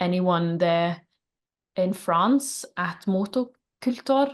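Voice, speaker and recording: This is a woman speaking with a Norwegian accent. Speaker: band singer. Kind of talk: interview.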